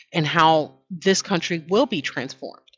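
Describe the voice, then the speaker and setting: A woman with a New York accent speaks at a fairly low pitch and a fairly slow pace. Her pitch varies in an ordinary way. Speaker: online commentary host. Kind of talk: casual monologue commentary. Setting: at home. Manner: conversational, with fillers and restarts.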